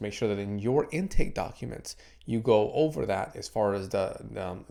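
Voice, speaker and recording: Using a put-on character voice, a man sounds raspy at a medium pitch, speaking at a moderate pace with big swings in loudness. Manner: stuttering, stumbling.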